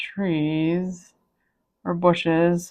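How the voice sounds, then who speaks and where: A soft-spoken woman with a fairly low pitch, a calm tone and monotone, flat intonation, against a quiet background. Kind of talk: casual talk to camera. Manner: calm, soft-spoken.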